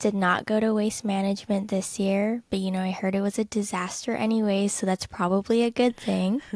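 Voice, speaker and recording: A woman's medium-pitched voice, monotone and flat, with a dry, close sound free of echo and a very clean recording over a silent background. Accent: Californian. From Southern California, LA area. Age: 20s. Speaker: podcast co-host. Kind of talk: casual chat.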